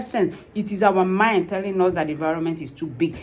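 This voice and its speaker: A woman speaks with a non-native accent. She moves at a fairly quick pace. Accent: foreign. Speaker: vlogger, tax preparer. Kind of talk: personal vlog, motivational talk. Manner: animated.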